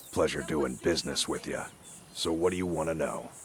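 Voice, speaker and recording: Over clear background noise, a man puts on a raspy character voice with a very deep, low pitch, fairly even intonation and a fairly quick pace. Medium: video game. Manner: casual, mercenary.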